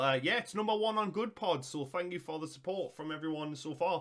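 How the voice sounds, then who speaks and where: Speaking at a fairly quick pace in a Geordie accent, a man with a high pitch shows ordinary pitch variation over a quiet background. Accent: Geordie (Newcastle) English. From northern England. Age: 30s. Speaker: YouTube reactor. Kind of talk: casual reaction commentary.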